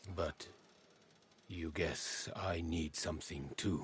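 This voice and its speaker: A man uses a put-on character voice, very deep and low. He speaks at a very slow pace. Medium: video game. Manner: formal, halting speech with odd present-tense phrasing.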